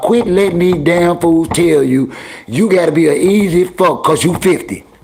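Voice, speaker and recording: Against noticeable background noise, a man speaks at a high pitch and moderate pace with ordinary pitch variation. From New York, the Bronx. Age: 50s. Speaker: livestream host. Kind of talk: casual chat. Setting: livestream. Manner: animated.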